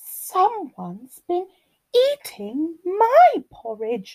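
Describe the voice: Delivered at a very slow pace, this put-on character voice swings very widely in pitch. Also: female-sounding voice, extremely high pitch for a woman.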